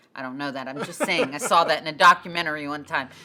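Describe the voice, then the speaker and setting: A woman speaks in a bright, sharp tone. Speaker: church podcast co-host. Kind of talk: casual chat.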